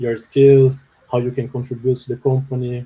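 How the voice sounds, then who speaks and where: With a Brazilian accent, a man talks at a moderate pace in a medium pitch, his dark, mellow tone somewhat breathy and his intonation monotone and flat. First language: Portuguese. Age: 30s. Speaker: software developer. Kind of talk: webinar interview. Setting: live online webinar. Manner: hesitant, many fillers.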